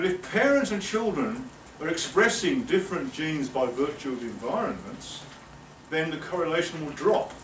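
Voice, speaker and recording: A man's high-pitched voice at a moderate pace, with audible room echo and light background noise. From England. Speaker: professor. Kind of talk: lecture. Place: meeting room. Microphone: camera far.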